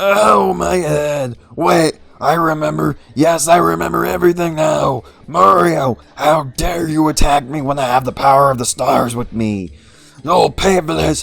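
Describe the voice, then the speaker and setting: Over music in the background, a man does a put-on character voice that is guttural and strained, with a fairly high pitch and a fairly slow pace. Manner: boastful, menacing.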